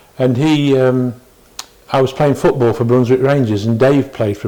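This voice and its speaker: A man speaks with a Derbyshire accent. Noticeable background noise is present. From northern England. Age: 60s. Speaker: retired cricketer. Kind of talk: oral history interview. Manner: halting.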